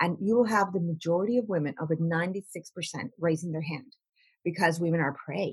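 Somewhat breathy and fairly low in pitch, a woman talks at a fairly quick pace with ordinary pitch variation and long, frequent pauses. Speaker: life coach. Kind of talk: podcast interview.

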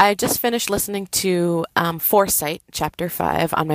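A woman with an American accent speaks with fairly even intonation. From US West Coast, Oakland, California. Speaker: listener leaving a voicemail. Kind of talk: voicemail message.

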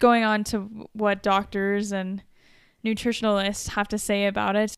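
An ordinary speaking voice from a woman at medium pitch, fairly even intonation, very clean recording with a silent background. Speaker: podcast co-host. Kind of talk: casual chat.

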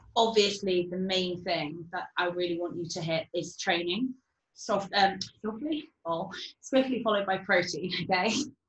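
A woman talks at a moderate pace and medium pitch, with ordinary pitch variation. Her voice is somewhat breathy. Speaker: fitness coach. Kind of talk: casual chat.

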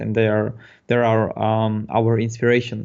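A man is speaking. He has a Polish accent. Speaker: concept artist. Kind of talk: interview. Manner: halting.

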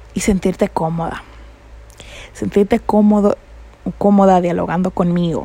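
A woman's somewhat breathy, dark, mellow voice at a medium pitch, monotone and flat, at a moderate pace with long, frequent pauses. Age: 20s. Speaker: podcast host. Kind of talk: reflective monologue.

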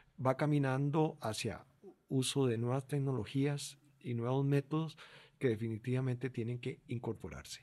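A man's voice has a dark, mellow tone and a medium pitch. He speaks at a fairly slow pace with ordinary pitch variation. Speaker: podcast co-host. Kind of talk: casual chat.

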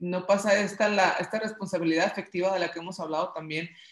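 There's noticeable background noise as a woman speaks at a medium pitch. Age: 30s. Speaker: podcast co-host. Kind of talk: casual chat.

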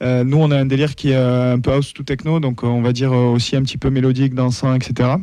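With a dark, mellow tone, a man speaks fairly quickly at a medium pitch in a monotone, flat delivery, with hardly any pauses. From France, Toulouse. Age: 30s. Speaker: techno festival organizer and football supporter. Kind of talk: casual radio talk show chat.

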